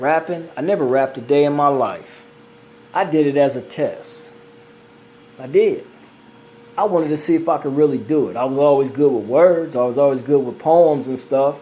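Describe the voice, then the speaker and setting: Over noticeable background noise, a man with a fairly high pitch and ordinary pitch variation talks at a moderate pace with long, frequent pauses. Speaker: amateur singer and video creator. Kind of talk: casual monologue. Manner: animated.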